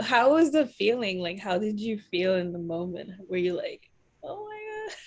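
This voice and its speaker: A woman with an American accent speaks in a normal speaking voice at a medium pitch and a moderate pace. Her intonation is lively, and her loudness swings a lot. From United States. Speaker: podcast host. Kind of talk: casual chat.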